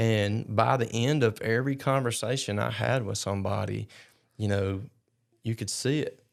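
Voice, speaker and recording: A man's medium-pitched voice with an Alabama accent, moderate pace and fairly even intonation. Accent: US Southern (Alabama). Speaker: charity founder and long-distance rider. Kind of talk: casual chat.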